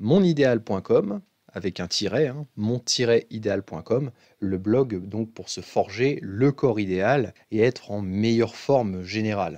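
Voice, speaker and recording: This man talks very slowly. His voice is fairly low in pitch. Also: quiet background. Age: 20s. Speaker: fitness coach. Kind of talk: tutorial.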